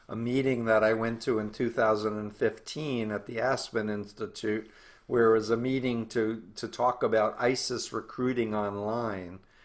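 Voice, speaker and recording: With an ordinary speaking voice, a man talks at medium pitch and a moderate pace with fairly even intonation on a very clean recording with a silent background. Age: 60s. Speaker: cult researcher and author. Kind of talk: interview.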